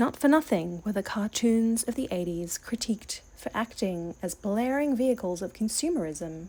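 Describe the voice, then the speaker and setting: On a very clean recording with a silent background, a soft-spoken woman with a dark, mellow tone speaks at a moderate pace. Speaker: toy collector. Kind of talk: soft-spoken ASMR storytelling.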